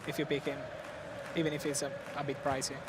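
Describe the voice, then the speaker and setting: Someone talks in an Italian accent while crowd noise fills the background. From Italy. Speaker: esports commentator. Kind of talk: live commentary.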